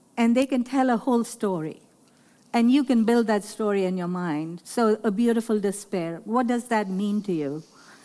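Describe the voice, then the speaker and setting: In a very clean recording with a silent background, a woman with a slight Pakistani accent speaks at a moderate pace, her fairly high pitch showing ordinary variation and her tone dark and mellow. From Lahore, Pakistan. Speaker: artist and educator. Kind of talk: panel talk with audience, interview. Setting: art fair talk with audience.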